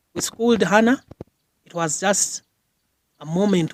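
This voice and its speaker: A man talks at a fairly slow pace. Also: dry, close sound with no echo. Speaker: doctor and military officer, former school rugby captain. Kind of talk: interview answer. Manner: soft-spoken.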